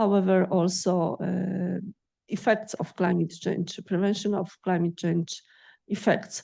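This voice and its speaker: A woman speaks with a Polish accent at a fairly slow pace. Her medium-pitched voice is dark and mellow, with monotone, flat intonation. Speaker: agrophysics researcher and lecturer. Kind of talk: lecture Q&A. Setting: lecture hall with audience. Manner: halting.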